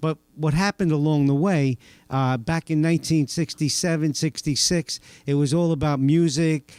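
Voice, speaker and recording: At a fairly high pitch, a man with a New York accent and a dark, mellow tone speaks at a moderate pace with fairly even intonation, the sound dry and close with no echo. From Staten Island, New York. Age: 60s. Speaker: church member, former drug addict. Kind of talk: testimony.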